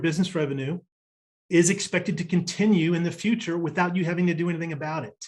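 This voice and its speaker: Here a man speaks at a very fast pace. His pitch is high, with ordinary variation. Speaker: business coach. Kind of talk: recorded workshop presentation.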